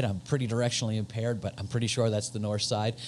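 This is a man speaking. Light background noise can be heard. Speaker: associate pastor. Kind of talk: church announcements. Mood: warm, upbeat. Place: home room. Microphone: handheld.

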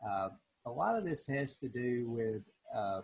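A somewhat breathy male voice. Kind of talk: tutorial. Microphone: video call.

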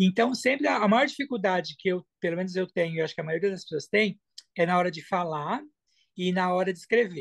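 Over a quiet background, a man talks with a high pitch. His intonation is lively and his pace fairly quick. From Brazil, São Paulo. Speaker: language student giving testimonial. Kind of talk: testimony interview. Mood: warm, enthusiastic. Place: home room. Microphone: video call.

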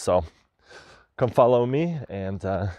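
A man speaks in a dark, mellow tone, the sound dry with no echo against a quiet background. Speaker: explorer vlogger. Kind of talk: casual vlog chat. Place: open country. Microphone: lapel.

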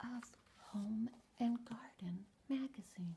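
Soft-spoken and whispering, the voice comes through noticeable background noise. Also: woman. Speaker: author and ASMR content creator. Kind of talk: ASMR story reading, soft-spoken first-person anecdote. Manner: soft-spoken, whispering, relaxing. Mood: humorous, mock exasperated. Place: home room. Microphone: webcam.

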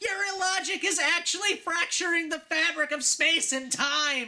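Extremely high pitch in a cartoonish character voice, delivered at a moderate pace. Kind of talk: comedic sarcastic rant. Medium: puppet. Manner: mocking, escalating, excited.

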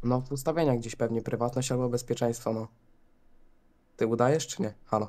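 Speaking at a fairly quick pace, a man with a dark, mellow tone keeps his intonation fairly even and leaves long, frequent pauses. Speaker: streamer friend on Discord. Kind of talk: casual banter. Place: home room.

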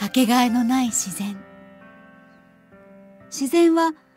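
At a fairly slow pace, the speaker's pitch swings very widely, with a dry sound that has no echo and faint music in the background. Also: woman. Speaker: radio personality. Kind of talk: narrated program intro. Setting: studio. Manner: slow, soothing. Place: studio.

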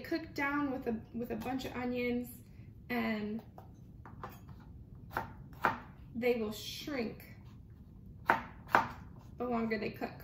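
A woman speaking at a fairly slow pace with long, frequent pauses, over loud background noise. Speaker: home cook vlogger. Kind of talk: casual cooking tutorial. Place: kitchen. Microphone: phone near.

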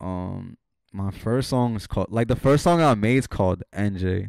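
Against a quiet background, a man with an American accent speaks at a fairly low pitch, the sound dry with no echo. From North Jersey, US. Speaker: music artist and clothing entrepreneur; podcast guest. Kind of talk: casual chat. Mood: relaxed, casual. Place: home room. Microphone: handheld.

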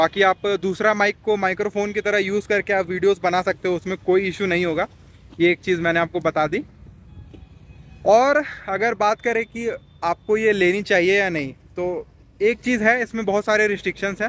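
At a moderate pace, a man speaks in a high pitch with a fairly bright tone and fairly even intonation.

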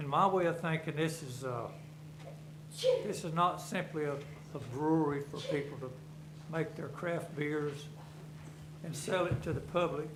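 Over noticeable background noise and audible room echo, a speaker with a Southern US accent goes at a moderate pace with fairly even intonation and long, frequent pauses. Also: man, fairly high pitch for a man. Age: 70s. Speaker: resident speaking at public comment. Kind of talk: public comment at a government meeting. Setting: county board meeting room. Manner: halting.

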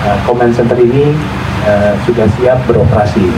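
Over noticeable background noise, a man keeps a moderate pace as he talks. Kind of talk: formal speech. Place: stage.

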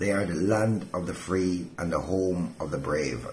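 A man speaks at a fairly slow pace in a very deep, low voice. Noticeable background noise runs under him. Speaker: pastor. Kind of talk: devotional sermon. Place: home room. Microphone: phone near.

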